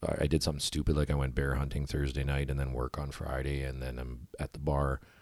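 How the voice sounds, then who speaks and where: Man with a Canadian Prairies accent, very deep, low pitch, monotone, flat intonation, fairly quick pace, dry, close sound with no echo. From Manitoba, Canada (Winnipeg). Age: 30s. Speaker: outdoor shop owner and band frontman. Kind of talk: casual interview chat. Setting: in-person in a home basement.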